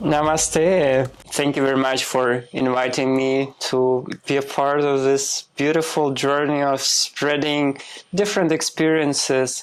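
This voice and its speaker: A man with a Russian accent speaks at a fairly high pitch. His intonation is fairly even, and his pace is fairly slow. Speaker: spiritual healer, former clinical trials worker. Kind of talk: podcast interview.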